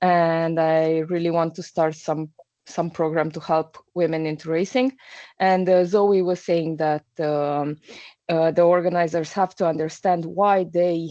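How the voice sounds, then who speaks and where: In a Romanian accent, a woman speaks with a dark, mellow tone and monotone, flat intonation. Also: fairly low pitch for a woman, fairly slow pace. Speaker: mountain bike racer. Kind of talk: question in webinar. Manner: halting.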